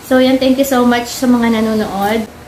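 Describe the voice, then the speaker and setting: A woman with a fairly high pitch keeps a moderate pace, noticeable background noise audible behind her. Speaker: vlogger. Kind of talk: casual vlog talk. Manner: kept quiet, not loud.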